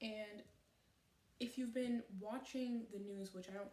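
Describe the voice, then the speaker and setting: A woman with a somewhat breathy voice and a dark, mellow tone talks at a moderate pace, her intonation fairly even. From Canada. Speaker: vlogger. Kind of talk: personal vlog monologue. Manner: halting, stuttering; earnest, unscripted.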